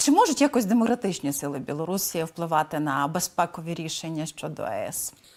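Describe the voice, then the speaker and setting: She has an ordinary speaking voice, fairly low in pitch for a woman. She talks at a fairly quick pace with lively intonation and hardly any pauses. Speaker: news interviewer. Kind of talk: news interview.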